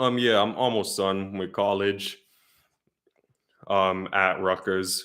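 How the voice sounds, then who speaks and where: With an American accent, the speaker talks at a very slow pace with long, frequent pauses, monotone, flat intonation and a bright, sharp tone. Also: man, fairly low pitch for a man. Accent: noted by viewer. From US Northeast, northern New Jersey. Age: 20s. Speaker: weather youtuber, college student. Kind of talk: live stream Q&A. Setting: live stream. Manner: hesitant, filler-heavy.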